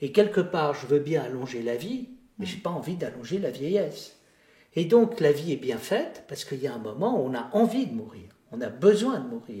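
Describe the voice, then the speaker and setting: A man's voice with very wide pitch swings and big swings in loudness. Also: fairly high pitch for a man, moderate pace. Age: 70s. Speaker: philosopher and theologian. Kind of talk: interview conversation.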